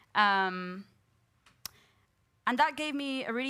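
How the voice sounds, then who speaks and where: A bright, sharp-toned woman is heard on a very clean recording against a silent background. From Spain, Madrid. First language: Spanish. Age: 20s. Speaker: academic panelist and book contributor. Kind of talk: panel discussion, personal testimony. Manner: hesitant, many fillers.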